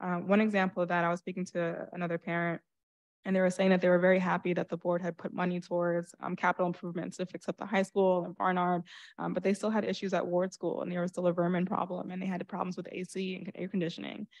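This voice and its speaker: Against a quiet background, a woman talks very fast with a New York accent and monotone, flat intonation. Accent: New York area American. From New Rochelle, New York. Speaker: school board candidate, education consultant; candidate. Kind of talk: candidate forum speech. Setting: stage with audience. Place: stage.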